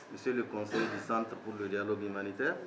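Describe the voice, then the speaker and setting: A man speaks at a fairly low pitch and a moderate pace. Noticeable background noise and audible room echo surround him. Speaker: government official. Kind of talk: formal speech. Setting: ceremony with audience. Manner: formal.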